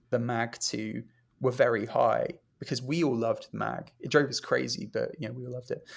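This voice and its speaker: Speaking at a moderate pace, a man has a British accent. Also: very clean recording, silent background. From Britain. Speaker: music journalist and podcast host. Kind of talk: interview conversation. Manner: casual, many fillers.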